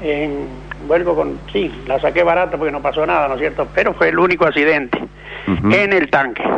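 A man talks at a moderate pace, his fairly high pitch showing ordinary variation, while noticeable background noise plays behind him. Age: old. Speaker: retired truck driver. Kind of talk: radio call-in. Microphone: too quiet.

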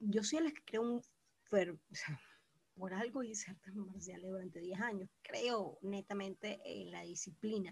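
Speaking at a fairly slow pace with vocal fry, a woman shows ordinary pitch variation and big swings in loudness. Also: medium pitch for a woman. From Venezuela, Caracas. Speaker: podcast co-host. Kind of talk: casual chat. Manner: animated.

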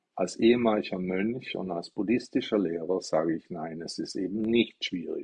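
Fairly slow delivery from a man, pitch varying in an ordinary way. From Stuttgart, Germany. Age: 60s. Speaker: Buddhist teacher. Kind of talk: livestream dharma talk. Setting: TikTok live stream. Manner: casual, chatty.

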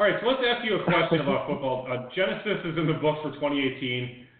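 A man speaks at a very fast pace and fairly high pitch, with very wide pitch swings. Noticeable background noise is present. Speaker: fantasy football co-host. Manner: jokey, sarcastic.

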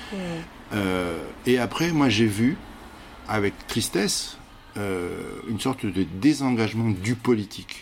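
At a very slow pace with long, frequent pauses, a man speaks at a fairly low pitch with ordinary pitch variation. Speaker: theatre director and actor. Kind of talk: interview. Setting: busy public place. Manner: hesitant, with many fillers.

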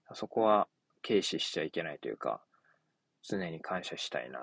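Recorded dry and close with no echo, a man speaks at a moderate pace. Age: 30s. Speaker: podcaster. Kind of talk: casual monologue. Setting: in a car. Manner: halting.

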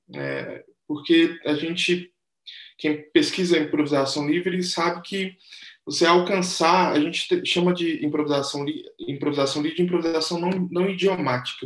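A man's high-pitched voice at a moderate pace, with fairly even intonation. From Brazil, Betim (Minas Gerais). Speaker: saxophonist and composer. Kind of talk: interview. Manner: hesitant, many fillers and repetitions.

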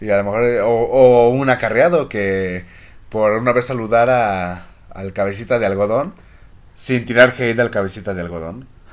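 This man's voice sits at a medium pitch with ordinary pitch variation. He talks at a moderate pace. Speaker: podcast host. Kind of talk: casual chat. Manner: animated.

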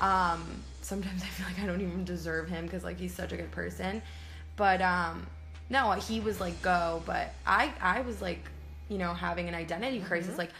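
A woman speaks at a fairly quick pace. Audible room echo and noticeable background noise fill the recording. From US, born in Colombia. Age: 20s. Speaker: podcast co-host. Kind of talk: casual chat.

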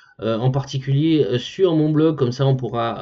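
Ordinary pitch variation and a moderate pace in a man's voice of medium pitch. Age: 30s. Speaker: podcaster and blogger. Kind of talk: solo podcast monologue. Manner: casual, hesitant with fillers.

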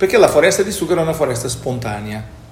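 Male speech over noticeable background noise, with room echo clearly audible. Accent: Portuguese. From Portugal, Lisbon. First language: Portuguese (speaking Italian). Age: 50s. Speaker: company executive. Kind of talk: interview.

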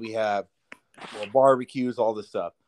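Medium in pitch, a man with an American accent speaks at a moderate pace. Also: dry, close sound with no echo. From Southern California. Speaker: podcast co-host, forklift driver. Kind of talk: casual chat while drinking beer.

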